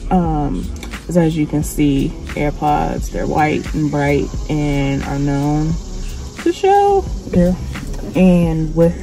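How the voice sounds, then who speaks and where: Very slow speech from a woman, amid noticeable background noise and audible room echo. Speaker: vlogger. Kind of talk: casual vlog monologue. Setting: in a car. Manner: soft-spoken.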